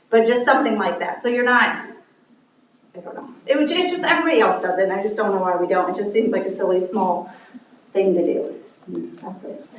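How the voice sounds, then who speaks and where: Her medium-pitched voice moves at a fairly quick pace with lively intonation and big swings in loudness as a woman speaks amid audible room echo. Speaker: council member. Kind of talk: council meeting discussion. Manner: fast.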